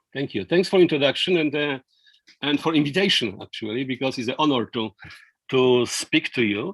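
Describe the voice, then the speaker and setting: Speaking at a fairly quick pace, a man uses a fairly high pitch and lively intonation with a non-native accent. The sound is dry and close, with no echo. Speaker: law professor. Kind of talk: lecture. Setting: video call. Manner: halting, many fillers and repetitions.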